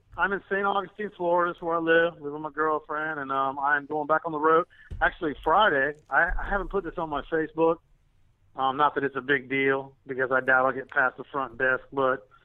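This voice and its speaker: With a Southern US accent, a man speaks fairly quickly and with ordinary pitch variation. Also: fairly high pitch for a man. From US South. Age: 50s. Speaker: musician. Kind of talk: interview.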